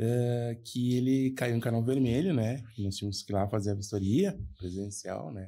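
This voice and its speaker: A man with a medium pitch and a dark, mellow tone speaks with hardly any pauses. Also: ordinary pitch variation, moderate pace. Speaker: podcast co-host, foreign trade professional. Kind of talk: casual chat, anecdote telling.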